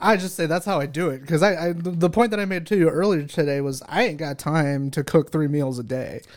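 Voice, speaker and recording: A man with an American accent talks fairly quickly with hardly any pauses, in a normal speaking voice. His pitch is fairly high, with ordinary pitch variation. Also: very clean recording, silent background. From California, San Bernardino. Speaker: unpaid podcast intern. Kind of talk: casual chat.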